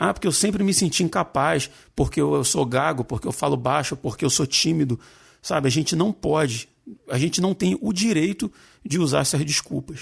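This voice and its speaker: A man speaks at a moderate pace in a fairly high pitch, with lively intonation, vocal fry and very even loudness. The recording is very clean, with a silent background. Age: 40s. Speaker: podcast host. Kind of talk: casual chat.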